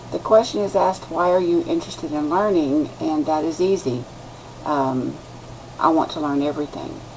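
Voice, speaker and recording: A woman speaks in a very deep, low voice with ordinary pitch variation over noticeable background noise. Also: moderate pace. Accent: Texan. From West Texas. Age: 60s. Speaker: student. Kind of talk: class introduction video. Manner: halting.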